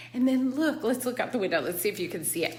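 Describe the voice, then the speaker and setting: Animated and with lively intonation, a woman speaks amid audible room echo. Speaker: vlogger. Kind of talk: casual vlog.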